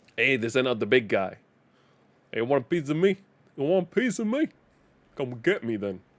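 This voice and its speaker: At a fairly quick pace broken by long, frequent pauses, a man talks in a medium pitch with very wide pitch swings. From Denmark. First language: Danish. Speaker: gaming streamer. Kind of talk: live gameplay commentary. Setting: live stream.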